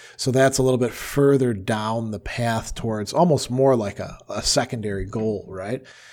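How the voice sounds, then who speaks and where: With an American accent, a man speaks in a normal speaking voice at a medium pitch and moderate pace. He uses ordinary pitch variation and hardly any pauses. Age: 50s. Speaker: philosophy professor and radio co-host. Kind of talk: casual chat.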